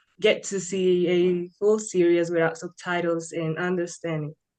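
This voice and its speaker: A woman speaks with a Spanish accent. Her voice sits fairly low in pitch. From Colombia. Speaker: English learner. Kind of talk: interview.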